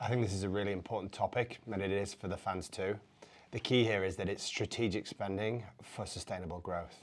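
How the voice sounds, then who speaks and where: On a very clean recording with a silent background, a man with an American accent talks at a fairly quick pace, his fairly low pitch held in monotone, flat intonation. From northern England, Yorkshire. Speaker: football club chief executive. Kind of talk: interview.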